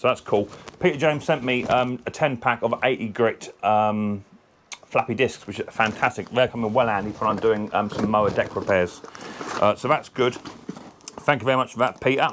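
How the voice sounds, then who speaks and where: Over noticeable background noise, a man speaks at a moderate pace with fairly even intonation. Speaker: mower repair channel host. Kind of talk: casual vlog chat. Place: workshop. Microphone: camera far.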